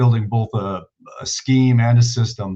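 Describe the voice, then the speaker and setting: This man's voice sits at a medium pitch, somewhat breathy, with fairly even intonation and a moderate pace. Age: 60s. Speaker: football coach. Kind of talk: clinic presentation.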